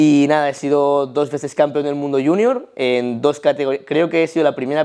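A man with a dark, mellow tone and fairly high pitch talks at a moderate pace with fairly even intonation against a quiet background. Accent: Spanish. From Spain. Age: 20s. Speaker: powerlifting athlete; interviewee. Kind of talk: casual interview. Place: home room.

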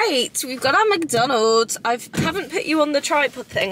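The dry, echo-free recording of a woman speaking at a fairly slow pace carries noticeable background noise. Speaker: vlogger. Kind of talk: casual vlog chat. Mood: chatty, excited. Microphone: phone near.

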